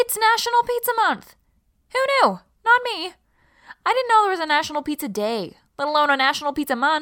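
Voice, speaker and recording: On a very clean recording with a silent background, a woman uses a raised, projected voice at an extremely high pitch, her bright, sharp tone swinging very widely in pitch at a fairly quick pace. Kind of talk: radio newsreading. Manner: brisk, even, formal newscaster delivery.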